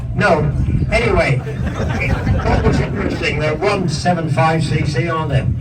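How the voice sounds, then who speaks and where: A man with a Northern Irish accent at a fairly high pitch and a fairly slow pace, ordinary pitch variation, audible room echo and crowd noise in the background. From Northern Ireland. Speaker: motorcycle museum host. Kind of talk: casual chat.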